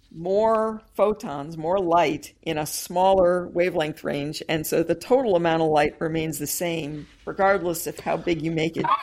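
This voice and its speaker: A woman's fairly low-pitched voice at a fairly slow pace, ordinary pitch variation, very clean recording with a silent background. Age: 50s. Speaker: astrophysics professor. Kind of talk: interview. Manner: halting.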